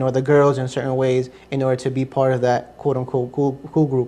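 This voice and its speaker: A man with a Spanish accent speaks at a moderate pace and medium pitch. His tone is dark and mellow, his intonation flat and monotone. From US, Ecuadorian family. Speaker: interview guest, convert to Islam. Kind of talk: interview testimony. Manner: hesitant, many fillers.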